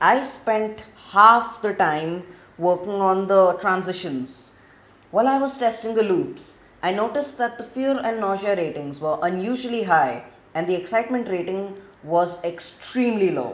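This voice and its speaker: A woman speaks with an Indian accent and lively intonation. Audible room echo is present. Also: medium pitch for a woman, moderate pace. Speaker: gaming video creator. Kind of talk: gameplay narration.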